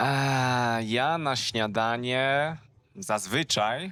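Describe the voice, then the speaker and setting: Speaking at a very slow pace, a man uses a medium pitch and a bright, sharp tone. The recording is very clean, with a silent background. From southern Poland. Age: 20s. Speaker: language teacher. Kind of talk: casual conversation in simple Polish. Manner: slow, repeating phrases for learners.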